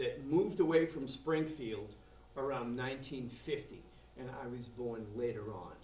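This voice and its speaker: Speaking in a Boston accent at a moderate pace, the voice has ordinary pitch variation and big swings in loudness, with noticeable background noise and audible room echo. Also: man, medium pitch for a man. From Boston area, Massachusetts. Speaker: blues drummer. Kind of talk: interview. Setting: music venue after show.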